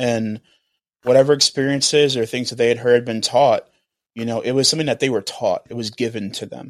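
Talking at a fairly quick pace, a man with a normal speaking voice keeps a medium pitch and fairly even intonation. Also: dry, close sound with no echo. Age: 20s. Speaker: podcast host and youth mentor. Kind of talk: casual interview conversation.

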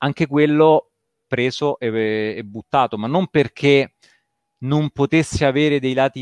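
Fairly even in intonation, a normal speaking voice comes through dry and close with no echo over a quiet background. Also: man. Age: 40s. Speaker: video game developer. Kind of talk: casual interview chat.

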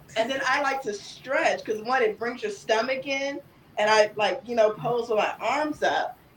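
A woman with a high voice speaks at a moderate pace with lively intonation, and there is noticeable background noise. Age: 30s. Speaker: cosplayer, content creator. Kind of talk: casual chat.

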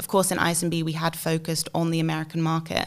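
This woman speaks with an English accent. Her pitch sits fairly low. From England, UK. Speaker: alumna and marketing agency co-founder. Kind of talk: podcast interview.

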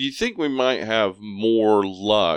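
A man speaks at a fairly slow pace in a fairly low pitch, with ordinary pitch variation. It's an ordinary speaking voice, recorded dry and close with no echo against a quiet background. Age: 40s. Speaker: horror movie podcaster. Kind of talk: casual chat.

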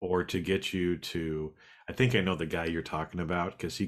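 A man speaks with a very deep, low pitch. The recording is very clean, the background silent. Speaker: podcast co-host. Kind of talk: casual conversational podcast.

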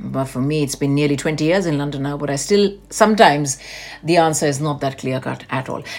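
A woman with a very deep, low pitch and ordinary pitch variation at a fairly quick pace, with noticeable background noise. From India, Delhi. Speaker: podcast co-host. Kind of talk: casual chat.

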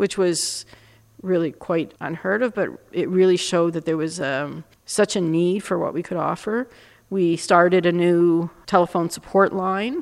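On a very clean recording with a silent background, a woman uses an ordinary speaking voice, fairly low in pitch, with fairly even intonation at a moderate pace. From Canada, Montreal. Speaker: university dean. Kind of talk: interview.

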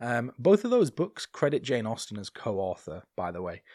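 In a northern English accent, a man speaks at medium pitch and a moderate pace on a very clean recording with a silent background. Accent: non-RP British, regional northern. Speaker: podcast co-host. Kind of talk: casual chat, podcast recap.

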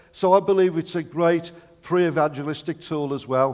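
Speech in a fairly even intonation against clearly noticeable background noise. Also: man. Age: 70s. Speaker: visiting preacher. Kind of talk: sermon.

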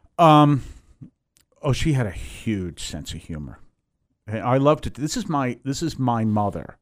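A man speaks at a moderate pace in a medium pitch, his voice swinging very widely up and down, with long, frequent pauses. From Massachusetts (Weymouth, near Boston). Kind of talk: interview, life story. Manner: halting, many fillers and restarts.

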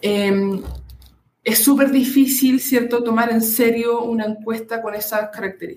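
At a fairly slow pace, a woman with an unremarkable speaking voice talks with fairly even intonation. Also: fairly high pitch for a woman. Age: 20s. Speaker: doctoral student in political science. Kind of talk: interview.

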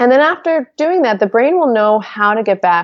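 Her intonation is lively. A woman speaks at a moderate pace. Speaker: hypnotherapist and motivational speaker. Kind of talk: podcast interview, casual conversation.

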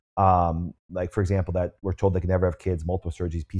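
Very fast in pace, a man speaks in a very deep, low voice that is dark, mellow and somewhat breathy, on a very clean recording with a silent background. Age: 40s. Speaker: chiropractor and health clinic founder. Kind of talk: interview on health. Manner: animated.

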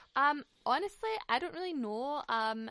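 Bright and sharp in tone, a woman in a Scottish accent speaks at a moderate pace with lively intonation. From Scotland. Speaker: podcast host. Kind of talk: casual interview chat. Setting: video or phone call.

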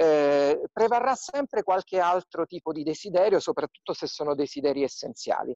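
A man speaks at a moderate pace and a high pitch, with lively intonation and hardly any pauses. The sound is dry and close, with no echo. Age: 40s. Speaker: museum director and archaeologist. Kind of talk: interview via video live stream.

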